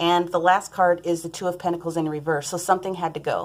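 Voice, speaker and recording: The woman talks at a very fast pace with a fairly low pitch. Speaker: tarot reader. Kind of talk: tarot reading. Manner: animated.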